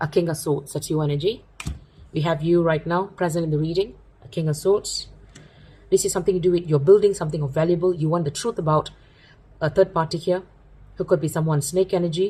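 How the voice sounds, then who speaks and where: Very fast yet marked by long, frequent pauses, a woman's fairly low, somewhat breathy voice has a dark, mellow tone and fairly even intonation. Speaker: tarot reader. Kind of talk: tarot reading.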